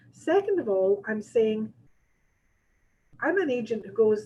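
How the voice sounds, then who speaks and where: In a Scottish accent, a woman speaks in a fairly high, somewhat breathy voice with a dark, mellow tone and ordinary pitch variation. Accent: Scottish, noticeable to listeners. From Scotland. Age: 60s. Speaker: real estate agent and trainer. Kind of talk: training seminar. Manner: conversational, with frequent fillers.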